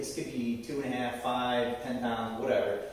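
This man's voice is heard with strong echo from the room. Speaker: fitness instructor. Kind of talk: tutorial. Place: garage. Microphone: camera far.

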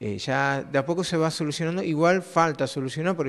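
A man speaks with fairly even intonation, keeping a moderate pace. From Argentina, Río Negro (Cinco Saltos); Río Negro, Argentina. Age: 30s. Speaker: blind primary school teacher; schoolteacher. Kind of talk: interview; interview answer. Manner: halting, repeats words. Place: classroom. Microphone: handheld.

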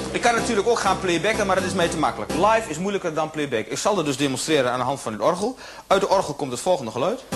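A man speaks very quickly while clear music plays behind him. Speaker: stage comedian. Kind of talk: comedy stage monologue. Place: stage.

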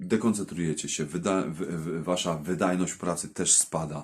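Very deep and low in pitch, this man's voice keeps a fairly even intonation. The recording is very clean, with a silent background. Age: 30s. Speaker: welder and video blogger. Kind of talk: casual vlog talk to viewers. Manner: halting, with many repetitions and fillers.

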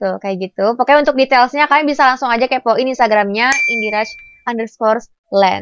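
High-pitched female speech at a fairly quick pace, dry and close with no echo. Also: ordinary pitch variation. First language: Indonesian (speaking Turkish). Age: 20s. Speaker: vlogger. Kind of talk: casual chat; sales pitch.

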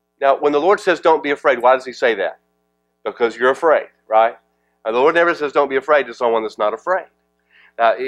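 With music in the background, a man talks very fast, his pitch varying in an ordinary way. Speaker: pastor. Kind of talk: sermon. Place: church. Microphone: headset.

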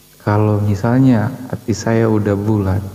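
Noticeable background noise sits behind a man's fairly low voice. He speaks fairly slowly in monotone, flat intonation. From Manado, Indonesia. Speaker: questioner from audience. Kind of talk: heated debate.

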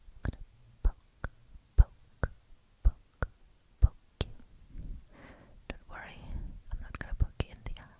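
Whispering and soft-spoken, a woman talks at a moderate pace with long, frequent pauses. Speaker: roleplay host. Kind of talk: soft intimate roleplay talk. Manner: soft, intimate close-mic whisper. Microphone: studio mic.

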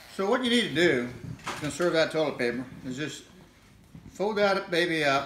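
With an American accent, a man speaks at a fairly slow pace with a fairly high pitch and lively intonation, over light background noise and audible room echo. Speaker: grandfather joking demonstrator. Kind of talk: comedic demonstration to camera. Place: home room. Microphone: phone near.

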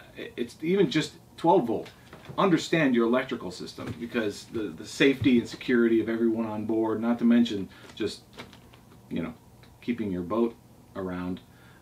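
At a moderate speed, a man talks with pitch that shifts in an ordinary way. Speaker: boat owner reviewing books. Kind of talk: casual vlog chat. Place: home room. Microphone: camera far.

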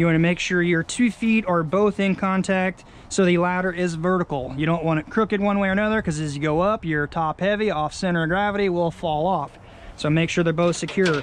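The speaker goes at a fairly quick pace with fairly even intonation, in a dry sound with no echo. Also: man, high pitch for a man. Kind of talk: tutorial. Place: garden. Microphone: phone near.

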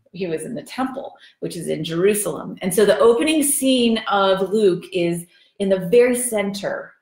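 This woman's voice is somewhat breathy and comes at a fairly slow pace. The background is quiet, with audible room echo. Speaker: bible study teacher. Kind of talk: lecture. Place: kitchen. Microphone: camera far.

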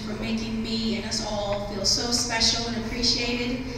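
A woman's monotone, flat delivery at a moderate pace, with noticeable background noise and strong room echo. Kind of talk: acceptance speech. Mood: grateful, emotional. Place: stage.

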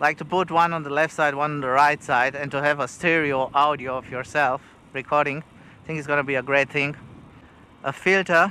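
A bright, sharp tone with a non-native accent, dry with no echo, over light background noise. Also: man. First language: not English. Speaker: travel vlogger. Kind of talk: tutorial vlog. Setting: outdoors, riding a bike with wind. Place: open country. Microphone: lapel.

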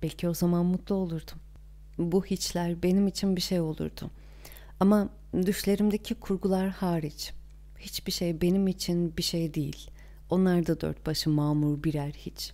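A woman's fairly low voice has a dark, mellow tone in a very clean recording with a silent background. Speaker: audiobook narrator. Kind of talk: reading aloud.

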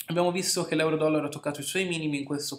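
A man is speaking. His intonation is flat and monotone. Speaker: market analyst. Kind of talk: market commentary tutorial.

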